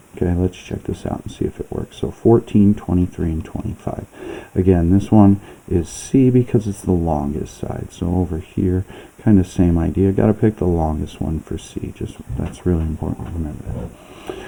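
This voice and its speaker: A man speaks at a moderate pace with a very deep, low pitch. There is noticeable background noise. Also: ordinary pitch variation. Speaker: math teacher. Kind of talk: lecture.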